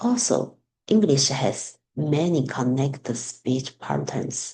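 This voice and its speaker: A speaker with a Chinese accent. The pace is very slow. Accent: Mandarin Chinese accent in English. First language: Mandarin Chinese. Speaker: student teacher. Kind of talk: class assignment presentation. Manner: halting.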